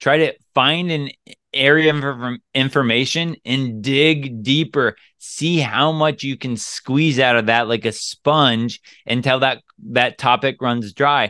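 In a normal speaking voice, a man talks at a medium pitch and a fairly slow pace with fairly even intonation. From US Pacific Northwest. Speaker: dating coach podcaster. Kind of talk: casual podcast advice.

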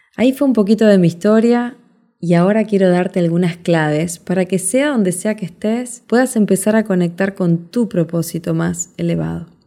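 A dark, mellow, warm tone in a Rioplatense accent, with ordinary pitch variation. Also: woman. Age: 40s. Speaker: podcast host, life coach. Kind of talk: motivational monologue. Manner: warm, conversational.

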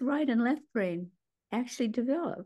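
Against a quiet background, a woman talks at a fairly high pitch with lively intonation and vocal fry. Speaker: author and psychiatrist. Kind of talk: casual interview chat.

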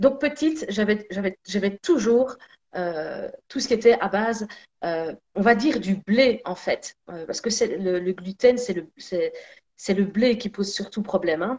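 A woman speaks at a very slow pace with lively intonation. Her voice is somewhat breathy. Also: fairly high pitch for a woman. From Belgium, Sicilian parents. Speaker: energy therapist and singer. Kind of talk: casual chat. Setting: live video stream.

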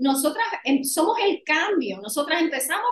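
This woman talks at a fairly slow pace. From Puerto Rico. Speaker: women's empowerment coach. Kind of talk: podcast interview.

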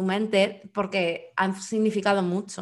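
On a very clean recording with a silent background, a woman at medium pitch speaks at a fairly slow pace in a monotone, flat delivery. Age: 30s. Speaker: podcast co-host. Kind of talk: casual chat.

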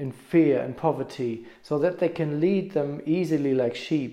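The man's tone is dark and mellow, his pitch fairly high. He keeps a moderate pace. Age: 40s. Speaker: musician and mentor. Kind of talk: personal story monologue.

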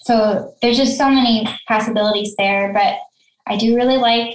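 A soft-spoken, somewhat breathy woman's voice, fairly high in pitch, at a moderate pace. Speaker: sewing pattern designer and business founder. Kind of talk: casual interview.

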